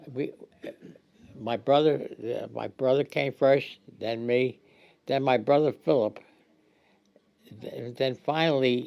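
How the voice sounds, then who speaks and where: A man with a medium-pitched voice speaks at a very slow pace, his intonation fairly even and his speech broken by long, frequent pauses. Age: 90s. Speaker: retired senior interviewee. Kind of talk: interview. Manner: halting, repeats words.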